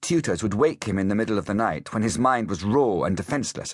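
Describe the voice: A text is being read out. The reading is plain.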